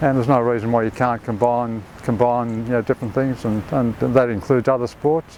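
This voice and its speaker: With an Australian accent, a man talks at a fairly quick pace and medium pitch. His intonation is fairly even, and there is noticeable background noise. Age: 80s+. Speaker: surfer. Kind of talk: interview answer.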